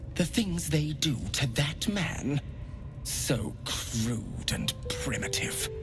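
A man puts on a character voice and speaks at a very slow pace. Loud background noise runs underneath. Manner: silky, intimate, unctuous; ecstatic, relishing.

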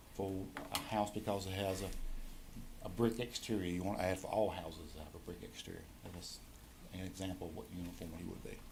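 A man speaks at a fairly quick pace. Audible room echo follows his words. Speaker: county tax assessor presenting reappraisal. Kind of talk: presentation to county board. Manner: fast.

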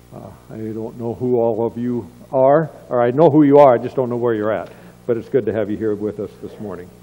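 The pace of this man's speech is fairly quick. A dark, mellow tone colors his voice. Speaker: pastor. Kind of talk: welcome and announcements. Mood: warm, friendly. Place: church. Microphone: podium.

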